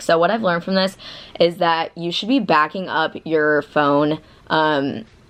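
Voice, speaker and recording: A woman with an American accent and a fairly low pitch talks at a moderate pace. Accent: Southern, comes out when nervous. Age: 20s. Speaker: vlogger. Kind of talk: casual vlog talk. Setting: friend's apartment. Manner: casual, filler-heavy.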